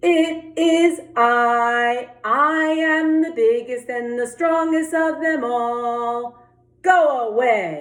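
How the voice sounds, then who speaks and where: A woman uses a put-on character voice, high in pitch and at a very slow pace. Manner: gruff, menacing, boastful.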